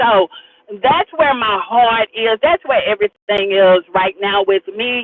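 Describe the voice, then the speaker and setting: A woman speaks with an ordinary speaking voice, fairly high in pitch. Her pace is fairly slow and her intonation lively. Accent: American. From US South. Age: 60s. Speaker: community leader and academy founder. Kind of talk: interview conversation. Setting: in a car.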